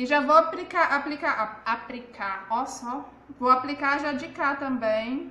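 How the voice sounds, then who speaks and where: Projected and raised, a woman's high-pitched voice moves at a fairly slow pace with ordinary pitch variation. Her loudness swings widely, and room echo is audible. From Brazil, Goiás. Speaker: makeup artist and seller. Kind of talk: live makeup tutorial. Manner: chatty, informal. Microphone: phone near.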